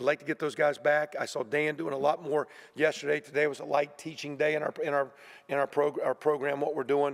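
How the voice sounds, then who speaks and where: In a fairly high pitch, a man speaks at a fairly quick pace with monotone, flat intonation. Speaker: college football head coach. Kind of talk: press conference. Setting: media room. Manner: fast.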